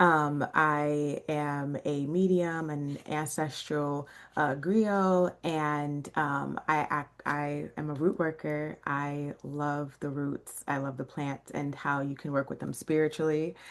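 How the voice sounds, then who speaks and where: In an American accent, the speech comes very slowly and in a flat monotone against a quiet background. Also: woman, very deep, low pitch for a woman. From Chicago, South Side. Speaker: rootworker and shop owner. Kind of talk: casual podcast self-introduction.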